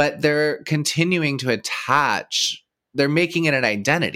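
A man with an American accent speaks at a fairly high pitch, his voice showing vocal fry. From Texas. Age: 30s. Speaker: podcast host. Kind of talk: casual chat.

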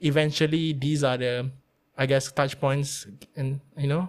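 Over a silent background in a very clean recording, a man with a fairly high pitch talks at a moderate pace in a monotone, flat intonation. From Malaysia (Melaka). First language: Malay. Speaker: radio producer. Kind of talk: casual interview.

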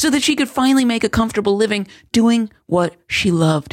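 A woman's fairly high, lively voice at a fairly quick pace, an ordinary speaking voice, on a very clean recording with a silent background. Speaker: podcast host, entrepreneur coach. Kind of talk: scripted monologue.

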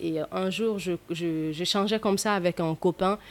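A woman speaks in an ordinary speaking voice with a fairly low pitch. Her pace is fairly slow and her intonation fairly even. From Mali, rural village. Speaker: actress and storyteller. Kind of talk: casual interview.

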